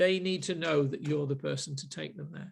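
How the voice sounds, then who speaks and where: A man speaks at a moderate pace with a Manchester accent. His fairly high voice carries vocal fry. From Manchester, northern England. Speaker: marketing group host. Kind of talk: group discussion. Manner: hesitant, many fillers and repeats.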